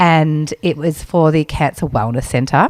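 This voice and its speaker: A woman speaks at a fairly slow pace with a very deep, low pitch and ordinary pitch variation. The sound is dry and close, with no echo. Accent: Australian. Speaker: podcast co-host. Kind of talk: casual chat.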